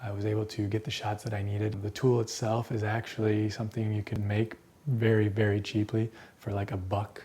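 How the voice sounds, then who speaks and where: A man's fairly low-pitched voice in a monotone, flat intonation. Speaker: filmmaker. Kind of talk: casual tutorial talk to camera. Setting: indoors at night. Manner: whispered, quiet.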